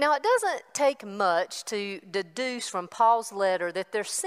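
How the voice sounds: Lively intonation in a natural reading voice.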